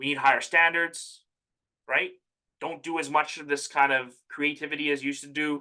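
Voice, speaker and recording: A man talks at a fairly quick pace in a fairly high pitch, his tone bright and sharp. His intonation stays monotone and flat, while his loudness swings widely. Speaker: immigration advising presenter. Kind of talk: workshop presentation. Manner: fast.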